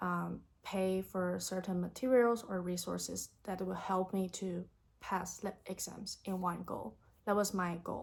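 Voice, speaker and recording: A woman with a Chinese accent speaks with fairly even intonation. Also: medium pitch for a woman, fairly slow pace. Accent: Mandarin Chinese accent in English. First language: Mandarin. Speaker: YouTuber, language learner. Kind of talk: vlog tutorial. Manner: casual.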